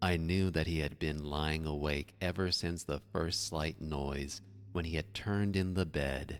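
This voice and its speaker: A soft-spoken man talks with a very deep, low pitch. His pitch variation is ordinary. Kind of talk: scary story reading, soft-spoken ASMR narration.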